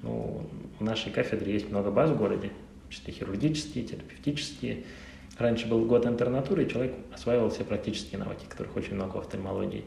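A man's fairly low-pitched voice at a very fast pace, very wide pitch swings, audible room echo and noticeable background noise. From Russia, Saint Petersburg. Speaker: ophthalmologist. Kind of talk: interview.

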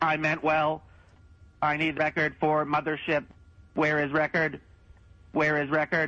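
Putting on a robotic character voice, a man speaks in a flat monotone at a fairly high pitch and a moderate pace, with long, frequent pauses. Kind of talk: broken, clipped speech.

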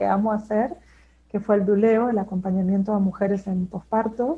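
A woman at medium pitch with fairly even intonation. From Argentina, Neuquén. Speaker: postpartum doula and therapeutic companion. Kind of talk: interview.

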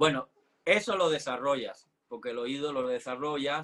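The delivery moves at a moderate pace. It is a normal speaking voice. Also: man. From Cuba (Havana). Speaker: ballet dancer and teacher. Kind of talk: interview.

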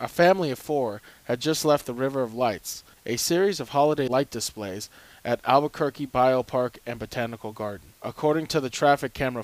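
A man with an ordinary speaking voice talks at a fairly quick pace, his pitch medium and its variation ordinary. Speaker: radio newsreader. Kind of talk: news reading, brisk scripted radio bulletin. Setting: radio studio. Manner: formal; even, measured, authoritative delivery.

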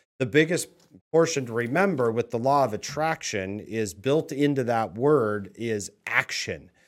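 A man speaks with an American accent in an ordinary speaking voice, at medium pitch and a fairly slow pace. His intonation is lively, and the recording is very clean with a silent background. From Washington State, Tri-Cities area. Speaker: real estate team leader. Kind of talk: interview.

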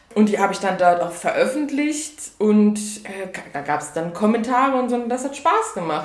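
The pitch swings very widely. Audible room echo and noticeable background noise fill the recording. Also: woman. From Saarland, Germany. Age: 20s. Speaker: author. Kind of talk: podcast interview.

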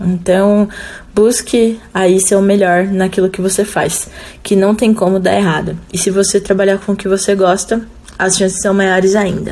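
Over noticeable background noise, a woman speaks at a fairly slow pace and medium pitch, in a monotone, flat intonation. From Jundiaí, São Paulo state, Brazil. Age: 30s. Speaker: rock guitarist. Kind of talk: recorded interview answers.

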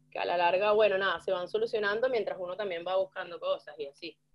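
With a medium pitch and ordinary pitch variation, a woman talks at a fairly quick pace. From Venezuela, Yaracuy (San Felipe). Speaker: rock musician. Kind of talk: casual chat.

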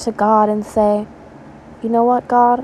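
A woman's fairly high-pitched, monotone, flat delivery at a fairly slow pace, over noticeable background noise. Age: 20s. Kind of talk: devotional talk. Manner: halting, with fillers.

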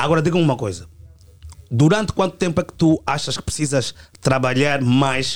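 A man speaks at a moderate pace with lively intonation and an animated tone, his voice fairly high. His loudness swings widely, and he leaves long, frequent pauses. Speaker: musician. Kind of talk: heated debate.

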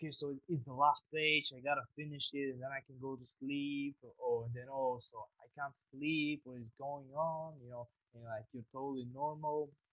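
A man with a medium pitch, a plain, everyday voice, fairly even intonation and a moderate pace. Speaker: podcast host. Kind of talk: casual interview conversation. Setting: online call. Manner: friendly, informal.

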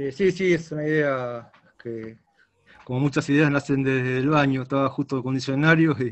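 With an ordinary speaking voice, a man talks at a moderate pace and fairly high pitch with fairly even intonation. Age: 50s. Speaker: rock guitarist. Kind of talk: interview.

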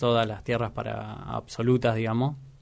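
The man's delivery is monotone and flat, pitched in the middle range and paced moderately. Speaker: film enthusiast, cook. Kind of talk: interview. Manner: halting, many fillers.

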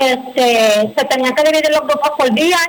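Noticeable background noise sits under speech whose pitch shifts in an ordinary way. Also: woman. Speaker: parents' group spokesperson. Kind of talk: radio interview.

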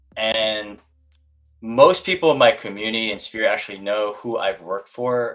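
Using a plain, everyday voice with an American accent, the speaker talks at a moderate pace with ordinary pitch variation. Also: man. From US, Korean American family. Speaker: real estate agent. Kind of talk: casual chat. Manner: casual.

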